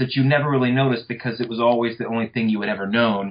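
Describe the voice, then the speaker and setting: Fairly even intonation in a man's medium-pitched voice. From North Louisiana, US South. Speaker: history professor. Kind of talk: interview about his book.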